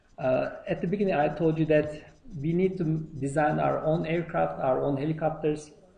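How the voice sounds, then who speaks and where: In a room with audible echo, a man with a non-native accent speaks at a fairly slow pace, his fairly high voice carrying a dark, mellow tone. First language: not English. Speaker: university lecturer. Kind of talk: lecture. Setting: lecture hall. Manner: halting, many fillers.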